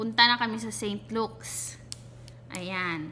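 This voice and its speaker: The voice moves at a very slow pace in a Visayan accent with a bright, sharp tone. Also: woman. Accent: Bisaya accent in Tagalog. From Visayas, Philippines. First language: Cebuano (Bisaya) (speaking Tagalog). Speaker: vlogger. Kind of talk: casual vlog, personal experience tutorial. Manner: halting, self-correcting.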